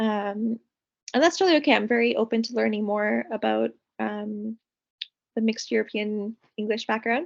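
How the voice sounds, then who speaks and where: A woman's fairly high voice at a moderate pace, with ordinary pitch variation, long and frequent pauses, and a dry, close sound with no echo. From Canada. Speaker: counseling graduate student. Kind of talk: mock counseling session.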